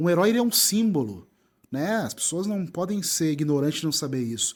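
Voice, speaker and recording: In a very clean recording with a silent background, a man with a southern Brazilian accent talks at a fairly quick pace in a high voice with lively intonation. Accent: gaúcho. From southern Brazil (Rio Grande do Sul). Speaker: writer, content creator and presenter. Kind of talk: interview conversation. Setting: live festival, band audible in background.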